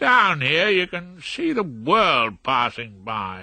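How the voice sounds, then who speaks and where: A put-on character voice with very wide pitch swings, at a very slow pace against a quiet background. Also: man, high pitch for a man. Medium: read story. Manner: reasonable, mild.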